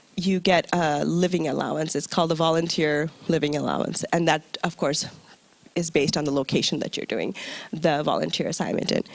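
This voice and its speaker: A woman with an American accent speaks at a fairly quick pace. Her very deep, low pitch stays monotone, with flat intonation. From US, New York. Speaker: UN recruitment officer. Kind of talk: presentation to audience. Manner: conversational, engaging.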